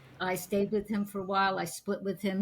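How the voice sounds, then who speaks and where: This woman's voice is somewhat breathy. It sits at a medium pitch. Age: 80s+. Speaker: psychic healer and artist. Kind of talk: interview conversation.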